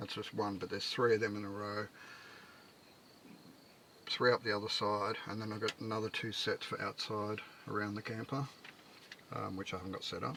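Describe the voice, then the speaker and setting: Amid noticeable background noise, a man talks at a fairly quick pace in a fairly low, monotone, flat voice, broken by long, frequent pauses. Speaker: micro-camper builder living in his camper. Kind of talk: casual talk to camera. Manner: mumbling, rambling, quiet; hesitant, many fillers.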